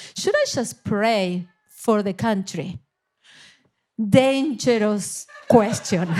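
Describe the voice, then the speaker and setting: With an Argentine accent and a fairly high pitch, a woman speaks at a very slow pace, with ordinary pitch variation and long, frequent pauses. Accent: Argentinian. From Argentina, Buenos Aires. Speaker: missionary leader. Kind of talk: interview.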